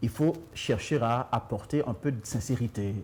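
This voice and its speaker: A man talks at a fairly slow pace in a medium pitch with ordinary pitch variation and a somewhat breathy quality. The recording is very clean, with a silent background. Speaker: author and communication trainer. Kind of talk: interview. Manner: halting, repeats words.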